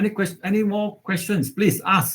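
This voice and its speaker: A man's somewhat breathy voice at a moderate pace. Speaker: university lecturer. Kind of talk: online lecture. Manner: halting, many fillers.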